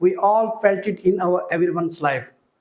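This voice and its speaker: In a Telugu accent, a man speaks at a high pitch and a moderate pace. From India, Telugu-speaking region. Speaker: school teacher. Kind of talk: lecture. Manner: formal.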